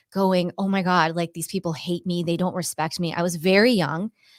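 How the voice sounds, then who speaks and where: A plain, everyday voice with fairly even intonation sits on a very clean recording with a silent background. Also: woman. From US Northeast, Cape Cod, Massachusetts. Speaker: Pilates instructor and intuitive empath. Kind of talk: interview testimony.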